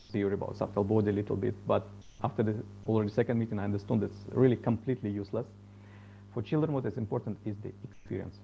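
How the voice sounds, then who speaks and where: A man speaks with a dark, mellow tone at a fairly low pitch. His voice is somewhat breathy, and his intonation stays fairly even. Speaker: musician and meditation teacher. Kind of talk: storytelling talk. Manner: halting.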